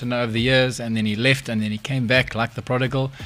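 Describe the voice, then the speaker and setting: Over music in the background, a man speaks in a medium pitch with monotone, flat intonation. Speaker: guitarist. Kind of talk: casual chat.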